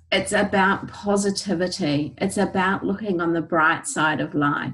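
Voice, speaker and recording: Speaking fairly slowly with a New Zealand accent, this voice has vocal fry and lively intonation. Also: woman. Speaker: essential oils educator. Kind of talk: presentation. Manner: animated.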